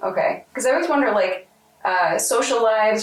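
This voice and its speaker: Noticeable background noise surrounds a woman speaking with ordinary pitch variation. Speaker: oral historian interviewer. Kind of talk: interview questions.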